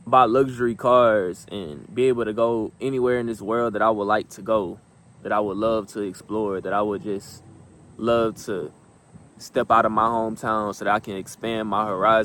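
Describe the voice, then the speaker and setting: There is an unremarkable speaking voice here, a man's, fairly low in pitch with fairly even intonation. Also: moderate pace. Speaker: motivational vlogger. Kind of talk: motivational talk.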